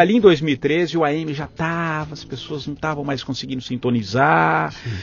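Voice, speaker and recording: Lively intonation marks this man's ordinary speaking voice, fairly high in pitch and at a fairly quick pace. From São Paulo state, Brazil (capital and interior). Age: 40s. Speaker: journalist, former radio news director. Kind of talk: interview conversation.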